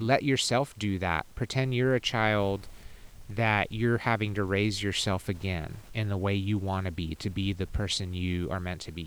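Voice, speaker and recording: A man with an American accent talks at a moderate pace in an ordinary speaking voice, fairly low in pitch with ordinary pitch variation. The recording is very clean with a silent background. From Texas (Houston). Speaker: life coach and festival organizer. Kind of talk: casual chat. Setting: outdoors.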